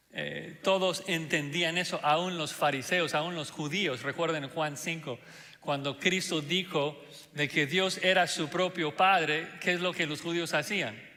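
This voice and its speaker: A man speaks in a fairly high pitch with a non-native accent and fairly even intonation. Noticeable background noise runs beneath him. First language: not Spanish (speaking Spanish). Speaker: pastor. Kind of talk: sermon. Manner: hesitant with fillers.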